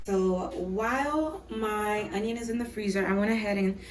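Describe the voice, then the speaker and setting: Through audible room echo and noticeable background noise, a woman speaks at a medium pitch with ordinary pitch variation. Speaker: cooking channel host. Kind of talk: cooking tutorial. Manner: casual, chatty.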